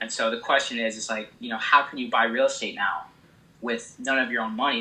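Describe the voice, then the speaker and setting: A man talks fairly quickly with an American accent while noticeable background noise fills the clip. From small town in Illinois. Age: 20s. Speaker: real estate investor. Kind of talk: casual interview answer. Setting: phone line.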